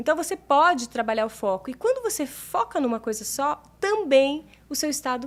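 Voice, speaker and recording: A woman speaks at a moderate pace. Her voice sits at a high pitch. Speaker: meditation mentor and therapist. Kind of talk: interview.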